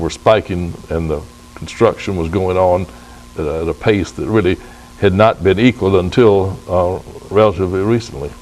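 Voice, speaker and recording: With an American accent, a man speaks at a very deep, low pitch and a moderate pace. His intonation stays fairly even, with music in the background. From Lake Wales, Florida. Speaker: citrus grower. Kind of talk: oral history interview answer.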